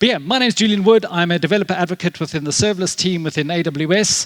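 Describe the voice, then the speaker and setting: A high-pitched man talks with a South African accent in a dry, close sound with no echo. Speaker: tech conference speaker, developer advocate. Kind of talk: conference talk. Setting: stage with audience. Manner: casual, filler-heavy.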